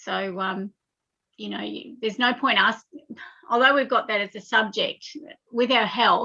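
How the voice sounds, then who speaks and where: This woman, with an Australian accent, has a fairly high pitch and fairly even intonation at a fairly slow pace. Her speech has long, frequent pauses and big swings in loudness. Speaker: spiritual guest. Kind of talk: casual chat. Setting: live internet radio stream. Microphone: unstable internet connection.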